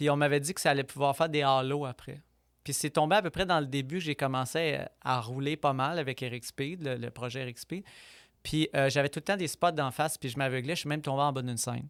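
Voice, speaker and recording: Fairly quick and fairly even in intonation, a man speaks at a fairly high pitch on a very clean recording with a silent background and a dry, close sound with no echo. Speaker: violinist. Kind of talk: interview. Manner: fast.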